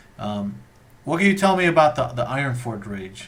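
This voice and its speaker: A man talks at a moderate pace in a somewhat breathy voice. Audible echo fills the room. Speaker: interviewer, live streamer. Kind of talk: casual interview chat. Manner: stumbling over words.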